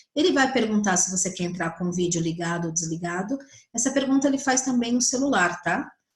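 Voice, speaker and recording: A woman speaks at a fairly quick pace in a medium-pitched, somewhat breathy voice with lively intonation. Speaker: psychologist teaching colleagues. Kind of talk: online tutorial.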